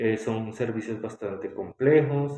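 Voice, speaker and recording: An ordinary speaking voice from a man, fairly low in pitch, with fairly even intonation. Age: 30s. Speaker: respiratory therapist. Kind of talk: interview.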